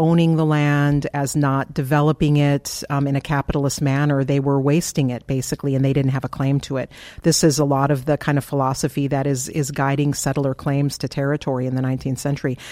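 With an American accent, a woman speaks in a very deep, low voice with a dark, mellow tone and a monotone, flat delivery. She talks at a fairly quick pace with hardly any pauses, on a very clean recording over a silent background. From US Upper Midwest (eastern South Dakota, Twin Cities). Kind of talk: interview conversation.

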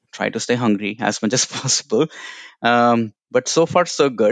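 A man speaks with an Indian accent. The background is quiet, and the sound is dry and close with no echo. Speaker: HR professional and immigrant mentor. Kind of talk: interview conversation. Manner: halting, filler words.

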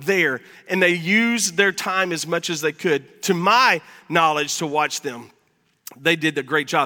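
A man's raised, projected voice, animated in tone, at a moderate pace. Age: 50s. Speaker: pastor. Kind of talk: sermon.

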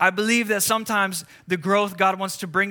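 Recorded very cleanly against a silent background, a man projects his high voice with a bright, sharp tone. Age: 30s. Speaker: pastor. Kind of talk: sermon.

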